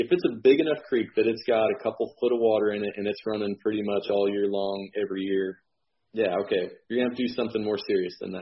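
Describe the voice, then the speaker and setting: This man has a plain, everyday voice. He speaks with an American accent and ordinary pitch variation. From Illinois. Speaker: realtor and land manager. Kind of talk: interview.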